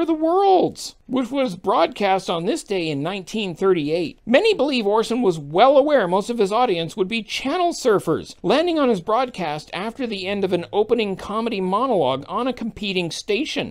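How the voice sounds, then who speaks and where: This is a put-on character voice at a fairly high pitch. The recording is very clean, with a silent background. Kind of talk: comedic daily news digest.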